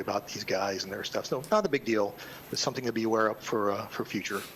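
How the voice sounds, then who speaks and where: The speech runs at a very fast pace with ordinary pitch variation. Background noise is noticeable. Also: man. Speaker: public commenter representing a homeowners association. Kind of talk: public comment at a county board meeting.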